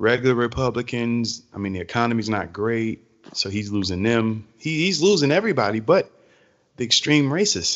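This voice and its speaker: Speaking with an American accent, a man has an unremarkable speaking voice. His pace is moderate and his pitch variation ordinary. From US South, Georgia. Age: 20s. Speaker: podcast co-host. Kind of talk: casual chat. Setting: call.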